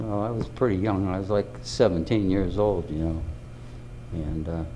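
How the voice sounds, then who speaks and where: Recorded with audible room echo, a man with an American accent talks at a moderate pace in a very deep, low, dark and mellow voice with lively intonation. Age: 80s+. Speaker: war veteran. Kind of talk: testimony. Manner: halting.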